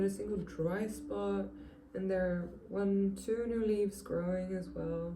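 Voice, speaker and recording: A woman with a non-native accent speaks at a very slow pace. Audible room echo surrounds her voice. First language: not English. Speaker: plant youtuber. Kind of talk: casual tutorial. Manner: halting, many fillers.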